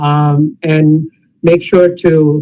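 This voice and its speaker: Fairly even in intonation, this man's unremarkable speaking voice sits at a fairly high pitch. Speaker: pathologist panelist. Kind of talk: panel discussion.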